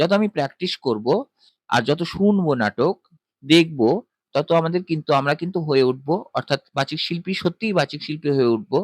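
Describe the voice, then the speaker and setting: This is an ordinary speaking voice with lively intonation, recorded with a dry, close sound and no echo. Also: man, fairly high pitch for a man. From West Bengal. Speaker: voice artist. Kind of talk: interview answer.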